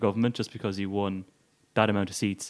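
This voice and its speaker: A man's fairly low voice with an Irish accent and fairly even intonation. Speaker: podcast co-host. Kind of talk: casual political discussion.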